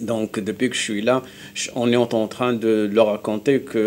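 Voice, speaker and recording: Flat, monotone intonation carries a Moroccan accent. The pace is fairly slow. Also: man. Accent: Moroccan accent in Hebrew. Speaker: Middle East specialist, university lecturer. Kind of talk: TV studio interview. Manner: halting, many repetitions.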